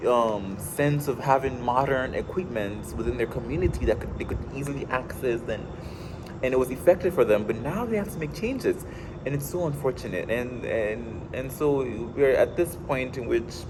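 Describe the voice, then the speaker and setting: Over noticeable background noise, a man talks at medium pitch and a moderate pace, with ordinary pitch variation. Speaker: college student reading a novel aloud. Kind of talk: casual book summary and reading aloud. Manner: halting, many fillers and repeats.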